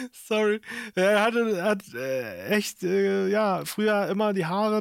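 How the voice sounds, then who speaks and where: A man is speaking. His pitch is high for a man. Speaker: podcast host. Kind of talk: casual chat. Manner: animated.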